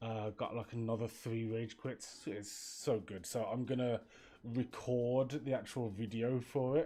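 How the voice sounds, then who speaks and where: Faint music plays in the background. A man with a Birmingham accent speaks with fairly even intonation. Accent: Birmingham (Brummie) English. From England, Birmingham; England. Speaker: streamer and graphic designer; streamer. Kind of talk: casual live stream chat. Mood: relaxed, amused. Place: home room.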